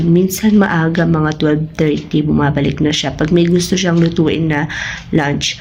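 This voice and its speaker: A woman with a fairly low pitch speaks fairly slowly in a flat monotone. Room echo and background noise are both audible. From Philippines. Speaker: family vlogger. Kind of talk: casual vlog talk. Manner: casual, conversational.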